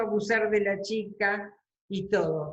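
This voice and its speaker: The woman's voice sounds somewhat breathy. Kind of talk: interview answer.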